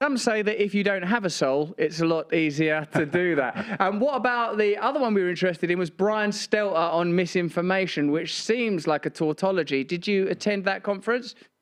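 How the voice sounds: A man's high-pitched voice at a moderate pace, with ordinary pitch variation and few pauses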